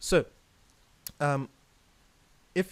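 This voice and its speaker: The recording is very clean with a silent background. A man speaks in a fairly high pitch. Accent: Zimbabwean. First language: Shona. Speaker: jazz pianist and educator. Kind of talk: tutorial. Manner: hesitant, many fillers and repeats.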